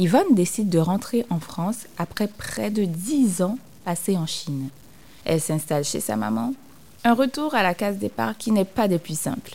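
Speaking at a fairly slow pace, a woman uses a medium pitch with very wide swings and a dark, mellow, somewhat breathy tone. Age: 30s. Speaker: podcast host. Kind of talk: scripted narration.

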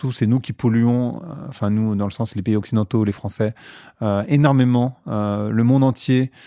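Recorded very cleanly with a silent background, a man speaks in a dark, mellow tone at a medium pitch and moderate pace, with ordinary pitch variation. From France, working-class housing estate. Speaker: podcast host and marketer, guest. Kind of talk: casual interview conversation. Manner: hesitant, many fillers and repetitions.

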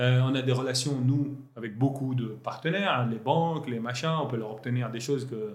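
With audible room echo, a man speaks fairly slowly at a medium pitch with ordinary pitch variation and a somewhat breathy sound. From Lebanon. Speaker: entrepreneur. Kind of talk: interview. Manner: halting.

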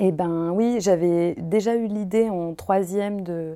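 A woman speaks at medium pitch with a dark, mellow tone and fairly even intonation. The recording is very clean with a silent background. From Paris, France. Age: 30s. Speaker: costume maker and embroiderer. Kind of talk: casual interview chat. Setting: at her home.

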